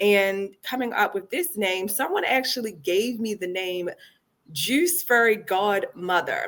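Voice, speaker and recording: Using an ordinary speaking voice, a woman with an American accent speaks at a fairly high pitch with lively intonation. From Baltimore, Maryland (East Baltimore). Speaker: founder of a wellness juice company. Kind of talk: podcast interview.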